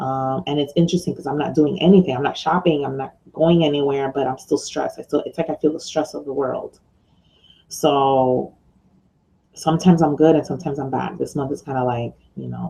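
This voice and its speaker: With an American accent, a woman talks at a fairly quick pace in a very deep, low pitch, her tone dark and mellow with vocal fry. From New York. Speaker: online business mentor and blogger. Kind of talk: casual video vlog. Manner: loud; hesitant with many fillers.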